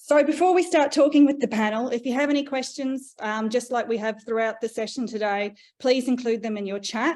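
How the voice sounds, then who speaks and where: A woman's high-pitched voice with an Australian accent, at a fairly quick pace with hardly any pauses, against a quiet background. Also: ordinary pitch variation. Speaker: panel moderator and researcher. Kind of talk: webinar panel introduction and presentation.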